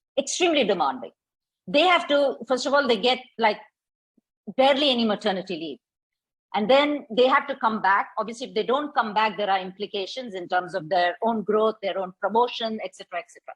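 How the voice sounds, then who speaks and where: Lively intonation with big swings in loudness. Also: woman, fairly high pitch for a woman, fairly quick pace, dry, close sound with no echo. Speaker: transitions coach and facilitator. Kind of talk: workshop talk. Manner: normal brisk pace.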